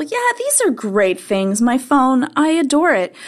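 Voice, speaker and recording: A woman speaks at a fairly slow pace. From Canada; Montreal, Canada. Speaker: tech website writer. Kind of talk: casual chat.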